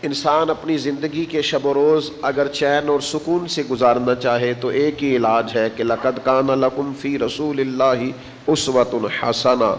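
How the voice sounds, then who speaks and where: Noticeable noise fills the background while a man delivers his words with fairly even intonation. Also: fairly high pitch for a man. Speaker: Islamic preacher. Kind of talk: religious sermon (bayan). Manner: emotional, devotional.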